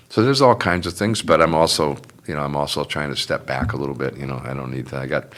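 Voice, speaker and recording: Over noticeable background noise, a man with a very deep, low pitch talks at a very fast pace with ordinary pitch variation. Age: 70s. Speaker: union and community activist, son of a WWII veteran. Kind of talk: casual interview. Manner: halting, many fillers.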